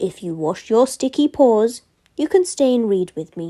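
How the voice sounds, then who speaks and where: Putting on a gruff, rumbling character voice, a woman speaks at a fairly high pitch and a moderate pace, with very wide pitch swings. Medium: read story. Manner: gruff, grumbling.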